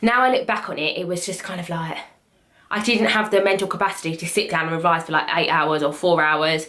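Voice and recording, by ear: At a fairly quick pace, a woman talks in a low pitch with a fairly bright tone and ordinary pitch variation.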